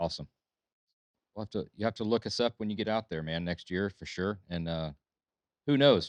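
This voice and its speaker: In a Southern US accent, a man with a fairly low pitch talks at a fairly quick pace with long, frequent pauses, ordinary pitch variation and a dry, close sound with no echo. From Alabama. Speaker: podcast host. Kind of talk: casual chat.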